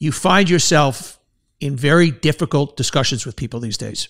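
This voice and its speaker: In a New York accent, a man talks at a fairly quick pace on a very clean recording with a silent background. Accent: New York, Queens. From New York City, Queens. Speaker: podcast host, former advertising executive. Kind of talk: interview.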